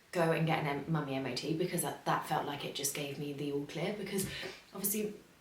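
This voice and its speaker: Speaking at a very fast pace with an English accent, a woman shows ordinary pitch variation amid audible room echo and noticeable background noise. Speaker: vlogger. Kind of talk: casual vlog. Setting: home, early morning. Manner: soft-spoken; hesitant, many fillers.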